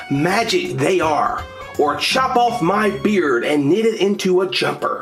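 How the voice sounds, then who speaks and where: Over clear background music, a woman does a croaky, put-on character voice at medium pitch and a fairly slow pace. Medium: read story.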